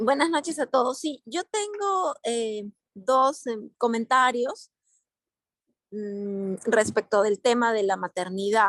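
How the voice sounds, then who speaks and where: With lively intonation and fairly high pitch, a woman speaks at a very slow pace in a dry, close sound with no echo. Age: 40s. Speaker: participant in a religious study group. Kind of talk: group discussion. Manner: halting.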